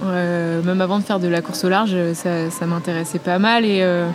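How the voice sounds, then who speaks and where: Noticeable background noise fills the recording. Over it, a woman talks at a medium pitch with ordinary pitch variation. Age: 20s. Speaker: offshore sailor. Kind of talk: interview. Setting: studio. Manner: hesitant.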